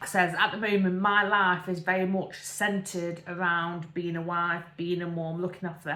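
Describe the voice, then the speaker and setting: In an East Midlands accent, a woman speaks at a fairly low pitch with a bright, sharp tone. Her intonation is fairly even. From English Midlands, Derbyshire area. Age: 30s. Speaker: vlogger. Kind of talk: casual chat. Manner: rambling, filler-heavy.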